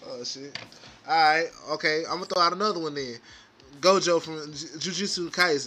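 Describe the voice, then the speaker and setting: A man speaks at a high pitch and a moderate pace, with ordinary pitch variation. His loudness swings widely, over noticeable background noise. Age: 20s. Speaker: podcast co-host. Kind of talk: casual chat.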